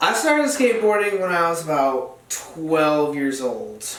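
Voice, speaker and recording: A man with an American accent speaks at a fairly slow pace, with audible room echo and noticeable background noise. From central New York (Dryden). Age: 19. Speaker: skateboarder and college student. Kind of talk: casual podcast interview.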